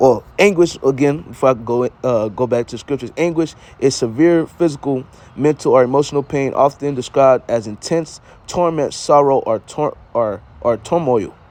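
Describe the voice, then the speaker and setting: A man speaks with a fairly high pitch. His pace is moderate and his pitch varies in an ordinary way. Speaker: bible teacher. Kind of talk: scripture teaching. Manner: loud; animated.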